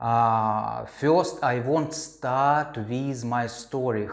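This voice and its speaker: With a Russian accent, a man speaks at a very slow pace and fairly even intonation amid audible room echo. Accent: Russian accent, non-native English. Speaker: crypto investor vlogger. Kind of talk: personal story monologue. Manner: halting, many fillers.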